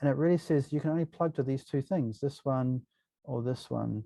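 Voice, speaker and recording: A man's dark, mellow voice at a medium pitch and moderate pace, with ordinary pitch variation and a dry, close sound with no echo. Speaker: university lecturer. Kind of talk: software tutorial lecture. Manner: casual, hesitant with many fillers.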